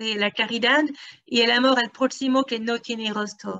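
Ordinary pitch variation and a fairly slow pace from a woman. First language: French (speaking Spanish). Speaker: academic researcher; academic lecturer. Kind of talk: lecture. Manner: halting.

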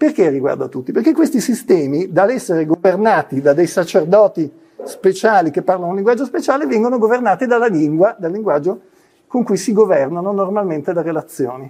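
A man's high-pitched voice with a dark, mellow tone, very wide pitch swings and a fairly quick pace, against a quiet background. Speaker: physician and clinical psychology lecturer; clinical psychology lecturer. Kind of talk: conference talk. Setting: university lecture hall, in person and online. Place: classroom. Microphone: lapel.

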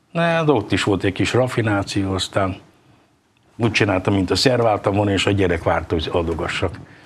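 A man's somewhat breathy voice sits at a fairly low pitch with lively intonation. He keeps a fairly quick pace and very even loudness. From Hungary. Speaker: table tennis player; guest. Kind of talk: casual interview. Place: studio. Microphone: lapel.

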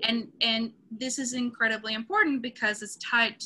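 Here a woman speaks with a Spanish accent. Her fairly high pitch comes with a bright, sharp tone. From Venezuela. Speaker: screenwriter and instructor. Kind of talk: panel discussion. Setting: video call.

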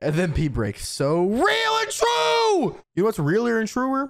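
A man's fairly slow speech with very wide pitch swings over a quiet background. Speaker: streamer. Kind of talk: reaction commentary. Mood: amused, joking. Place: home room. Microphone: studio mic.

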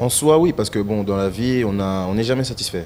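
A man talks at a fairly quick pace in a fairly low pitch, with light background noise. He has an unremarkable speaking voice. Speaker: rapper and musician. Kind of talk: TV talk show. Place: studio. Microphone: handheld.

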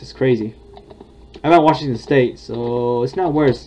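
Against noticeable background noise, a man talks at a medium pitch with fairly even intonation. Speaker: gaming YouTuber and vlogger. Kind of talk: casual, chatty.

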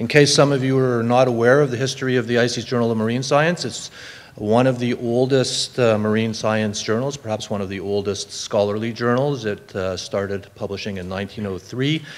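A man talks at a moderate pace with ordinary pitch variation. He leaves hardly any pauses. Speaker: conference presenter. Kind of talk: lecture. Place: hall. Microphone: podium.

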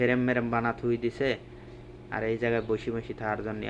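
The speaker is a man. He talks with a Pabna accent. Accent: Pabna regional Bengali dialect. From Bangladesh, Pabna district. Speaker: migrant worker and vlogger. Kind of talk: walking vlog narration. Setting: outdoors, walking by roadside. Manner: casual colloquial dialect.

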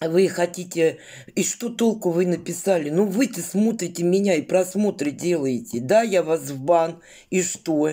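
Against a quiet background, a woman speaks fairly slowly at a fairly low pitch, with ordinary pitch variation and a dark, mellow tone. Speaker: vlogger. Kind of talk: casual vlog chat. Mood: indignant, defiant. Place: home room. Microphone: phone near.

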